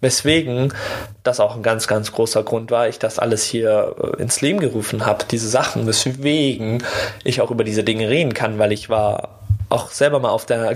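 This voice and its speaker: A man's medium-pitched voice moves at a moderate pace, its intonation fairly even, with noticeable noise behind it. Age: 20s. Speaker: podcast host, former bullying victim. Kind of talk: personal storytelling monologue. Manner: casual, many fillers.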